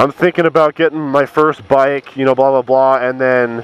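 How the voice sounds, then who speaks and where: Over noticeable background noise, a man at medium pitch speaks at a moderate pace with fairly even intonation in a dry, close sound with no echo. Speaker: motovlogger. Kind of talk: casual vlog monologue. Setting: outdoors on a motorcycle.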